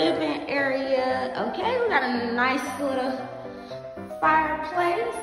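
A woman speaks with audible room echo. Music plays clearly in the background. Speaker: apartment tour vlogger. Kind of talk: casual vlog chat. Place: empty room. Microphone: phone near.

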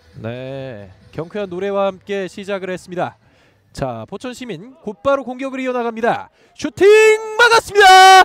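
A man speaks at a moderate pace with big swings in loudness, the sound dry with no echo. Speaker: football play-by-play caster; play-by-play commentator. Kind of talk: live commentary. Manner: formal.

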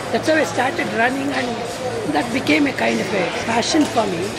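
Loud background noise fills the clip as the speaker goes on at a moderate pace. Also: woman. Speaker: amateur runner. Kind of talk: interview answer. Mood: warm, upbeat. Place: hall.

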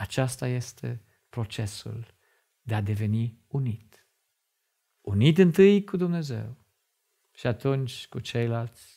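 The delivery is very slow, with a dark, mellow tone that is somewhat breathy. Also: man. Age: 50s. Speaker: lay preacher and doctor; religious teacher. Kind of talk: sermon. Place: studio. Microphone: lapel.

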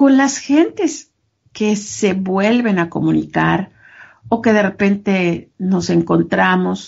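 A woman's somewhat breathy voice at medium pitch. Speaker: business trainer and podcast co-host. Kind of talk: casual chat.

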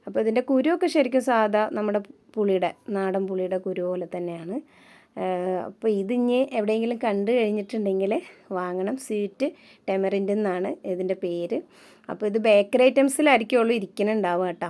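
With a dark, mellow tone, a woman talks at a fairly high pitch. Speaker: vlogger. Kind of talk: casual vlog talk to camera. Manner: chatty.

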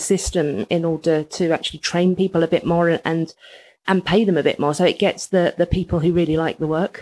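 A woman with a London accent speaks in a fairly low, monotone voice with flat intonation, on a very clean recording with a silent background. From England, East London. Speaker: writer and magazine editor. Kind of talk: casual interview chat. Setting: in a house, in person.

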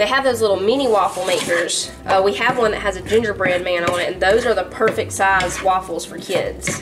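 Over clear music in the background, a woman speaks at a very fast pace with fairly even intonation. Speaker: home cooking vlogger. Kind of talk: casual vlog chat. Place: kitchen. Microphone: camera far.

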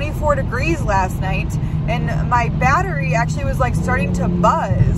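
Loud background noise runs under the voice. The sound is dry, with no echo. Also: woman. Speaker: van life vlogger. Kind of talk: casual vlog chat. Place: car. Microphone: phone near.

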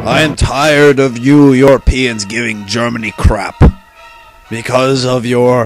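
Clear background noise runs under the speech. A man with a medium pitch talks at a moderate pace. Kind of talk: comic overacting. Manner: loud, demanding, bratty.

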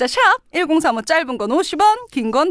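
Very wide pitch swings mark this fairly slow speech, which has a dry sound with no echo and a quiet background. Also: woman. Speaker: radio DJ. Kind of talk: radio show hosting. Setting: radio studio. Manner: animated. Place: studio. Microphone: studio mic.

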